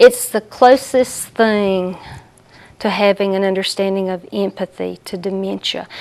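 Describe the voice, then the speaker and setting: This woman speaks at a medium pitch. She has a Southern US accent. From US South. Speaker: hospice support services director. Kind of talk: interview.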